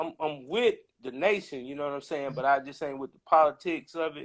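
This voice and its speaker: At a moderate pace, a man with a fairly high pitch talks with big swings in loudness. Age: 60s. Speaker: caller. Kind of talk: casual chat. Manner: halting.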